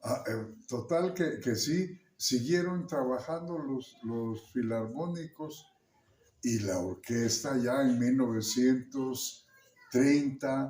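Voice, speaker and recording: At a very slow pace, a man talks in a medium pitch with a dark, mellow tone and ordinary pitch variation. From Santiago Juxtlahuaca, Mixteca region, Oaxaca, Mexico. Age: 80s+. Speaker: musician. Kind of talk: interview answer. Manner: hesitant, with fillers.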